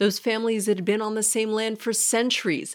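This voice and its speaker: At a moderate pace, a woman with a fairly high pitch speaks in an ordinary speaking voice. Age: 40s. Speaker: podcast co-host. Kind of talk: casual chat.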